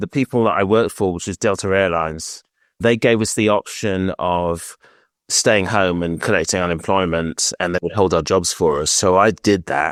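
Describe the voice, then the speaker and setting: In a British accent, a man with a very deep, low pitch talks at a moderate pace with ordinary pitch variation, in a dry, close sound with no echo and a very clean recording against a silent background. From Britain. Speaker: scale modeller, flight attendant. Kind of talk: interview.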